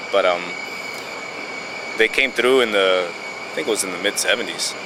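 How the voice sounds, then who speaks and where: A man speaks at a moderate pace with a Spanish accent while background noise is noticeable. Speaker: border patrol agent. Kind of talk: documentary interview. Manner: halting, many fillers.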